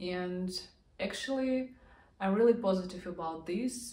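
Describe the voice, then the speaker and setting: A woman's somewhat breathy, medium-pitched voice in a Russian accent, dark and mellow in tone, with audible room echo. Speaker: vlogger. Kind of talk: casual vlog talk to camera.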